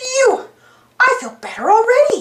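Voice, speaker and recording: Doing a put-on character voice, a woman squeaks at an extremely high pitch with fairly even intonation. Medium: read story.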